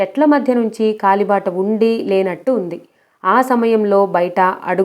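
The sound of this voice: The pitch of this unforced reading voice varies in an ordinary way.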